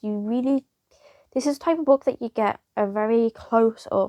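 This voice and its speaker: A woman's high voice with a British accent, in a dry, close sound with no echo. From United Kingdom. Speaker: book reviewer. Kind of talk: casual video review. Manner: hesitant, with fillers and restarts.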